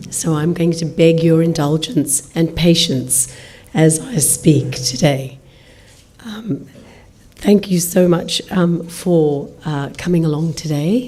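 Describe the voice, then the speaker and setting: A woman's fairly low voice at a very slow pace, with ordinary pitch variation, audible room echo and noticeable background noise. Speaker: diplomat. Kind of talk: formal speech. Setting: lecture hall with audience. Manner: formal.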